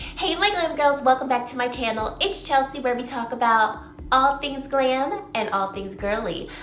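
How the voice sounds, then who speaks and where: With noticeable background noise and audible room echo, a woman talks at a moderate pace in a high voice with lively intonation. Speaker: beauty vlogger and consultant. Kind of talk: casual product review vlog. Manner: chatty, animated.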